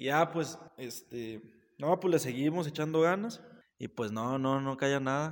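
At a fairly slow pace, a man speaks in an unremarkable speaking voice pitched fairly high. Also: ordinary pitch variation. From Mexico, Saltillo. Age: 20s. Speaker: barber and entrepreneur. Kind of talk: casual chat.

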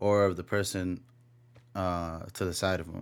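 Mumbling at a fairly slow pace, a man is heard in a very clean recording with a silent background. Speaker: podcast host. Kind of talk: solo monologue. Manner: mumbly; laid back.

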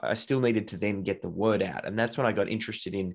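A man with an Australian accent speaks at a fairly quick pace and fairly low pitch. His intonation is fairly even, over a quiet background. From Australia, Melbourne. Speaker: entrepreneur. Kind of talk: casual chat.

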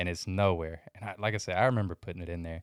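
A man with an ordinary speaking voice talks at a fairly quick pace with fairly even intonation. The recording is very clean, dry and close, with a silent background and no echo. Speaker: reseller podcaster. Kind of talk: casual chat.

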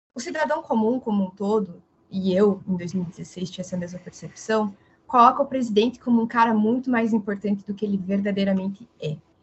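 At a moderate pace, a woman speaks with a fairly high pitch. Her voice is somewhat breathy. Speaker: political consultant. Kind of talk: casual chat.

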